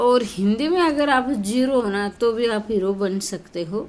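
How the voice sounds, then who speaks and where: A woman speaks very slowly, and her pitch varies in an ordinary way. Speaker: Hindi exam coaching teacher. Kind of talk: tutorial with sales pitch for notes.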